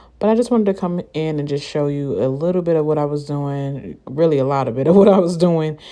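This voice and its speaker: A woman with a very deep, low pitch and a dark, mellow tone speaks with lively intonation in a very clean recording with a silent background. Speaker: beauty vlogger. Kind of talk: tutorial. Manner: fast.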